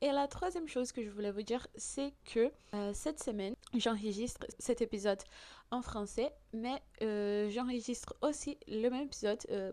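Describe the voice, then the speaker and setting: At a moderate pace, a woman speaks in a dark, mellow tone with a fairly high pitch and ordinary pitch variation. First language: Portuguese (speaking French). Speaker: podcast host. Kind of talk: podcast monologue. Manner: hesitant, many fillers.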